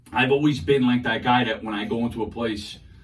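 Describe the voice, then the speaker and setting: Audible room echo follows a man with an American accent as he talks at a fairly quick pace with ordinary pitch variation. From New York City, Queens and Brooklyn. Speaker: social media comedian. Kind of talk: interview. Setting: radio studio. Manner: loud; animated.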